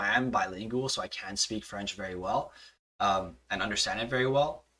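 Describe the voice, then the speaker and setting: A man speaks with a Montreal accent in a bright, sharp tone. His pace is fairly quick and his intonation lively. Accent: Canadian English (Montreal anglophone). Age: 20s. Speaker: hockey podcast host. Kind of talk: casual chat.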